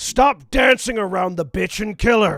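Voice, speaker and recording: A man puts on a high-pitched character voice. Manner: aggressive, bellowing.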